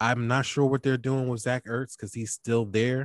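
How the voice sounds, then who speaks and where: With a Philadelphia accent, a man speaks at a moderate pace. The recording is very clean with a silent background, and the sound is dry and close with no echo. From Philadelphia, US. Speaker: fantasy football podcaster. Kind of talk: casual sports chat.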